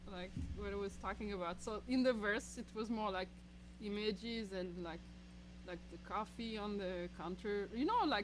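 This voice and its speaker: A woman with a French accent talks at a moderate pace over noticeable background noise. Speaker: singer-songwriter. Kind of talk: casual chat.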